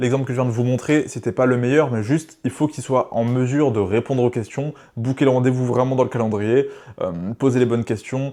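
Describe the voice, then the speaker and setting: The background is quiet as a man talks at a fairly quick pace. His tone is dark and mellow. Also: medium pitch for a man. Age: 20s. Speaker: business coach YouTuber. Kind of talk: tutorial. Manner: fast; animated.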